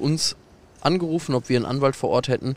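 At a fairly quick pace, a man speaks in a medium pitch, the sound dry and close with no echo. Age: 20s. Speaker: football fan legal aid volunteer. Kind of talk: casual interview. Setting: outdoors in a football stadium stand.

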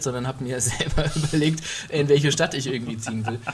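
The pace stays moderate. It is a plain, everyday voice. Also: man. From Middle Franconia, Germany. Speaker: podcast co-host. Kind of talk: casual chat.

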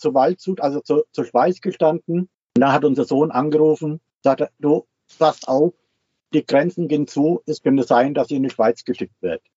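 A man talks in an ordinary speaking voice at a moderate pace. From Switzerland. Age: 60s. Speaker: retiree living full-time in a motorhome. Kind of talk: interview.

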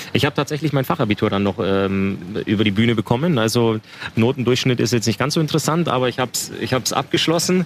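A man's very fast speech with lively intonation. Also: medium pitch for a man. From Upper Bavaria, Waldkraiburg. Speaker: ice hockey player. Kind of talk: casual interview. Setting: outdoors at a market.

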